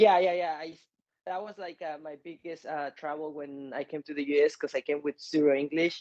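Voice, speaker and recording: A man with a Mexican accent, fairly high in pitch, at a fairly quick pace with fairly even intonation and big swings in loudness, in dry, close sound without echo. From Mexico City. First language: Spanish. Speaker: MMA fighter. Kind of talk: interview. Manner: halting.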